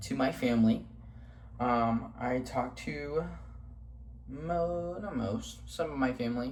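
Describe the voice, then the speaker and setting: There is audible room echo as a man talks with an American accent. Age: 20s. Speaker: vlogger. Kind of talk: casual vlog monologue. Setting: home kitchen. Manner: casual, many fillers (um, like).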